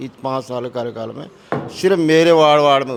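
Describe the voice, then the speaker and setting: There is noticeable background noise behind a man's voice. He speaks at a fairly high pitch with lively intonation. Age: 60s. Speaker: ward member. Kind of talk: interview answer.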